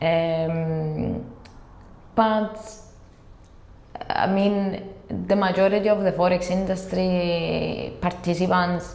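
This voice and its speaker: At a very slow pace with long, frequent pauses, a woman speaks at a medium pitch with fairly even intonation. Noticeable background noise and audible room echo surround her. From Cyprus. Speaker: compliance executive. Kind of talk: interview. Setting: office. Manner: hesitant.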